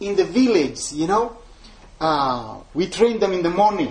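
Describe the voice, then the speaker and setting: A man with a high pitch, an Ethiopian accent and ordinary pitch variation. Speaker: missionary evangelist. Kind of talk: talk to a church group about his life and ministry. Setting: church gathering with audience. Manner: halting, apologetic about his English.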